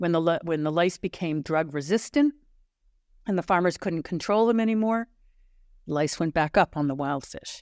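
Long pauses come often as a woman talks at a moderate speed. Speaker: biologist and researcher. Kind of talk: interview.

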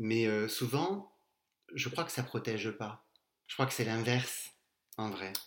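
This man pauses long and often, moving very slowly, with a medium pitch that varies in an ordinary way. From southern France, Castres. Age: 40s. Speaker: podcast guest. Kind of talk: casual chat.

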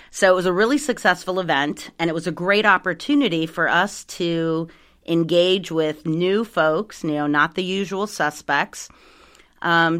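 With an American accent, a woman speaks at a moderate pace in a fairly low pitch with ordinary pitch variation on a very clean recording with a silent background. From South Carolina. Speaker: environmental nonprofit director. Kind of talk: casual interview.

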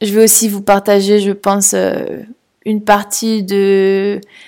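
Medium pitch from a woman, on a very clean recording with a silent background. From France, Toulouse. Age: 30s. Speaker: podcaster. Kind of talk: solo podcast monologue. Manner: hesitant, many fillers.

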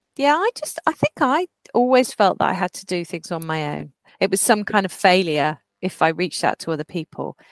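In a dry, close recording with no echo, a woman with an unremarkable speaking voice talks fairly quickly at a medium pitch, with lively intonation and big swings in loudness. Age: 40s. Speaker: podcast co-host. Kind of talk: casual chat.

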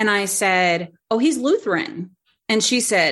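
A woman talks in an unremarkable speaking voice. The background is quiet. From North Carolina. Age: 40s. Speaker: human design teacher. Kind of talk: casual interview chat.

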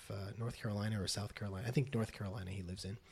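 Somewhat breathy, a man talks with a fairly low pitch in an American accent. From Las Vegas, US West. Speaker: poet and professor. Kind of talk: casual interview. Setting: in person, Los Angeles.

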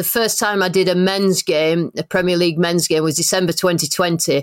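A woman with a normal speaking voice, fairly low pitch, fairly even intonation and moderate pace, in a very clean recording with a silent background and a dry, close sound with no echo. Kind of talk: interview.

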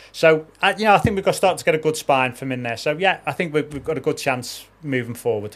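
A man with a Liverpool accent rattles on at a very fast pace with hardly any pauses, using a fairly high pitch and lively intonation. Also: very clean recording, silent background. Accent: Scouse. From Liverpool, England. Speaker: demolition company owner. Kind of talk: casual chat.

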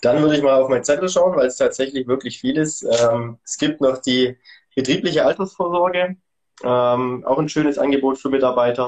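A man talks at a moderate pace with a fairly high pitch. He has an ordinary speaking voice and ordinary pitch variation. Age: 30s. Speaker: events and sponsoring manager at a sports retailer. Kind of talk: interview.

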